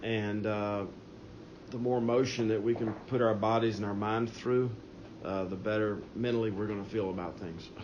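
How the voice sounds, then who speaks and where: Amid noticeable background noise and audible room echo, a man speaks at a fairly low pitch in a monotone, flat intonation. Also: moderate pace. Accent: Southern US. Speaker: state treasurer. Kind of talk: press teleconference Q&A. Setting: phone call. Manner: halting.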